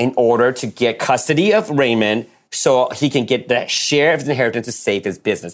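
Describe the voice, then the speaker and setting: At a fairly quick pace, a man with an ordinary speaking voice talks at a medium pitch with lively intonation. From born in Taiwan, raised in US from age eight. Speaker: screenwriter and producer. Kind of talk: casual interview. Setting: video call.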